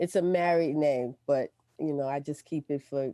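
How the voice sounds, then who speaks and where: Dark and mellow in tone, a woman with an American accent and ordinary pitch variation is heard in a dry, close sound with no echo on a very clean recording with a silent background. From Brooklyn, New York (early childhood Central Florida). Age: 60s. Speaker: retired pastor and artist. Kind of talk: interview, life story. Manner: hesitant, many fillers.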